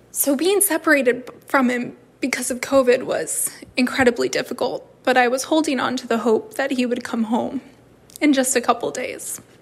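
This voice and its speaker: Against noticeable background noise, a woman with a high pitch speaks at a moderate pace, her pitch varying in an ordinary way. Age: 20s. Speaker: bereaved partner. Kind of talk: personal testimony.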